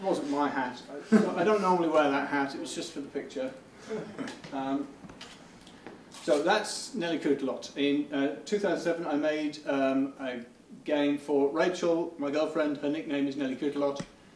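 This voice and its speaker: A man with a fairly high voice talks at a moderate pace with fairly even intonation and long, frequent pauses. Noticeable background noise and audible room echo fill the recording. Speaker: game developer giving a talk. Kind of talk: conference presentation. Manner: halting, many fillers.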